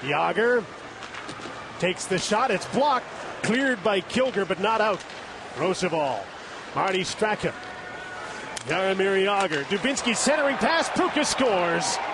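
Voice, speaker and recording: A man speaks in a high voice with long, frequent pauses. His loudness stays very even, and the dry, echo-free sound carries noticeable background noise. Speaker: play-by-play announcer. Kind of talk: live sports commentary. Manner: rapid-fire, rising excitement on goals. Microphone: headset.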